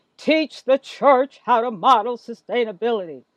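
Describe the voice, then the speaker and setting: A booming, put-on character voice with a fairly high pitch at a moderate pace. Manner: commanding.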